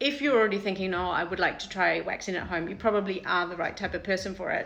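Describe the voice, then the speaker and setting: A woman speaks at medium pitch with fairly even intonation. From New Zealand. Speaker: salon owner demonstrating waxing products. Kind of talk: live product demo and tutorial. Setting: Instagram live stream. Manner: fast; casual, filler-heavy.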